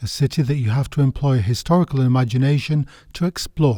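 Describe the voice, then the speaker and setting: A man with a northern English accent speaks at a fairly high pitch and a moderate pace. His tone is dark, mellow and somewhat breathy. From northern England. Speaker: podcast host, history guide. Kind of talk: scripted narration.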